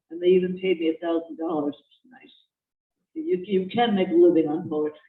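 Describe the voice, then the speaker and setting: A woman talks at a moderate pace with ordinary pitch variation. Her pitch sits fairly low. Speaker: poet. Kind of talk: poetry reading. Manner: sarcastic tone.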